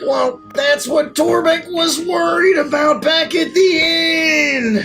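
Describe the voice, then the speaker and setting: With clear music in the background, a man performs a put-on character voice at a very slow pace. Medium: actual play. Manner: speaks of himself in third person.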